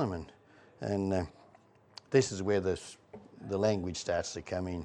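A man with a rural Australian accent talks at a moderate pace, his fairly low pitch carrying a dark, mellow tone. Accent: broad rural Australian. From Australia, rural Victoria (Trentham). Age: 60s. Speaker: local old-timer. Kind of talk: casual reminiscing interview. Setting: pub.

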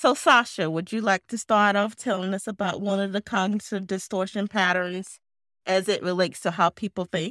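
An unremarkable speaking voice from a woman, medium in pitch and moderate in pace, with fairly even intonation, a dry, close sound with no echo and a very clean recording with a silent background. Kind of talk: educational podcast discussion.

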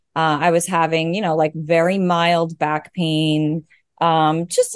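Against a quiet background, a woman with a New York accent speaks at a fairly low pitch. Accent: New York American. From US, Long Island, New York. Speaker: new mother sharing birth story. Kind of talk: casual interview, personal story.

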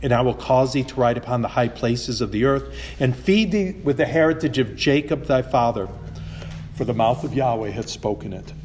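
A man's fairly quick speech with ordinary pitch variation over noticeable background noise. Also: medium pitch for a man. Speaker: Bible teacher, preacher. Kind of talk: sermon or Bible teaching, with consecutive Spanish interpretation.

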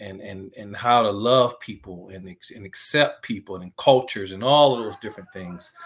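A man with a fairly low pitch and a normal speaking voice talks at a moderate pace with hardly any pauses. His pitch varies in an ordinary way, while his loudness swings widely. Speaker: basketball coach and ministry director. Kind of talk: casual interview.

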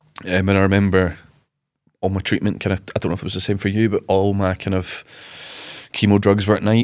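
A man with a Glasgow accent talks very fast yet with long, frequent pauses, his fairly low voice monotone and flat, on a very clean recording with a silent background. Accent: Scottish (Glasgow). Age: 20s. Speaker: rugby player, cancer survivor. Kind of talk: interview, personal story. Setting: studio.

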